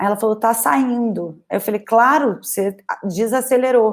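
The delivery is moderate in pace. It is an unremarkable speaking voice. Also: woman. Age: 20s. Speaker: painter and art teacher. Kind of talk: casual talk on a livestream. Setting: livestream.

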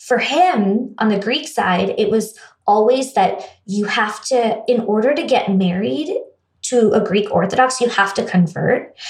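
A woman with a fairly high pitch and a somewhat breathy voice speaks at a fairly slow pace. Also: lively intonation. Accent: American. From US, raised in India from age eight. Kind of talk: casual interview conversation.

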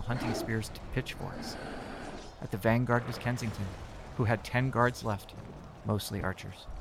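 A man in a dramatic tone yet monotone, flat intonation, over noticeable background noise. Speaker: narrator. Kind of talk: fantasy story narration, dramatic reading of a scripted tale. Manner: dramatic, vivid, gripping storytelling pace.

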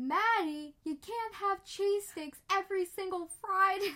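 A female-sounding put-on character voice at an extremely high pitch. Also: moderate pace. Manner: exaggerated, put-on, funny.

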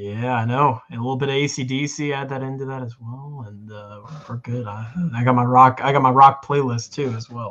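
A man speaks with an ordinary speaking voice at medium pitch. His pace is moderate and his intonation fairly even. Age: young. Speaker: sports podcast co-host. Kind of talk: casual chat.

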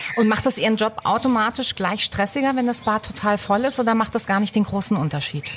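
A woman with an unremarkable speaking voice talks at a fairly quick pace and a fairly high pitch, with ordinary pitch variation. Her loudness stays very even, and she hardly pauses. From southern Baden, Germany. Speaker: radio host. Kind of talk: scripted narration; interview.

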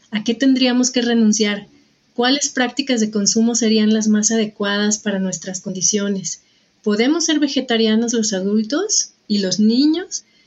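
At a fairly slow pace, a woman speaks with fairly high pitch, a somewhat breathy voice, ordinary pitch variation and very even loudness. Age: 40s. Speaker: podcast host. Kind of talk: interview conversation.

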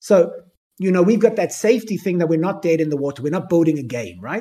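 In a South African accent, a dark, mellow voice talks at a very fast pace. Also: man. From Cape Town, South Africa. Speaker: NFT project founder. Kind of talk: AMA talk. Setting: online audio space.

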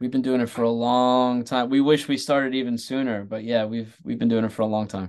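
Over a quiet background, a man with an American accent speaks at a fairly quick pace in a medium pitch, with monotone, flat intonation and hardly any pauses. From Staten Island, New York. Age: 40s. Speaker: comedy writer and producer. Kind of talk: casual interview.

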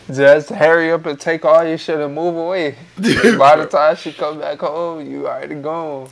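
Over noticeable background noise, a man with a fairly high pitch speaks with fairly even intonation. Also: moderate pace, hardly any pauses. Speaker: podcast co-host. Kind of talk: casual chat.

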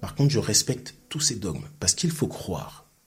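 A man's medium-pitched voice with very wide pitch swings, a fairly slow pace, and music in the background. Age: 50s. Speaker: sports coach. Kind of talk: interview. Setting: studio. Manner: talkative, fluent.

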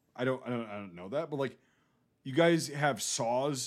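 At a medium pitch and moderate pace, a man speaks with ordinary pitch variation. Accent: Northern Midwest. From US Midwest. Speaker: war veteran. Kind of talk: casual chat. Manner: profane, casual.

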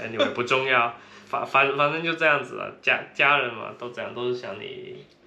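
Speaking at a fairly quick pace, a man with a strong Cantonese accent shows big swings in loudness. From Guangdong, China. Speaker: podcast co-host, traveler. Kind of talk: casual chat.

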